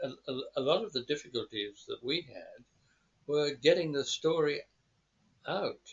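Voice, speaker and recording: There is a man speaking in an Australian accent with lively intonation. His voice is fairly high and somewhat breathy. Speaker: former war correspondent. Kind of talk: interview. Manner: halting, many repeats and fillers.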